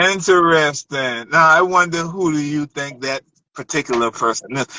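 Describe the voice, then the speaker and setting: At a moderate pace and fairly high pitch, a man speaks with a bright, sharp tone and ordinary pitch variation, the sound dry and close with no echo. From Charleston, South Carolina. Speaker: battle rapper. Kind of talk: casual interview. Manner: halting, repetitive fillers.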